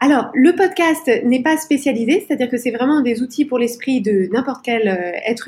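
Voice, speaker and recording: Her voice is high. This woman talks at a moderate speed. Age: 40s. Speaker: life coach and podcaster. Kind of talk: interview. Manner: halting.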